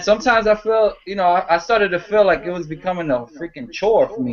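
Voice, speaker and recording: Talking at a very fast pace with a New York accent, a man is heard over noticeable background noise. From New York City (Harlem). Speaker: comic book video reviewer. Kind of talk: casual chat. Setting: video call.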